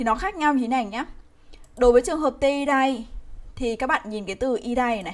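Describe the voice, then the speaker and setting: A woman talks at a moderate pace in a high voice. Her pitch varies in an ordinary way. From Vietnam. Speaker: Japanese language teacher. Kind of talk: live online grammar lesson. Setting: livestream. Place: home room. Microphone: webcam.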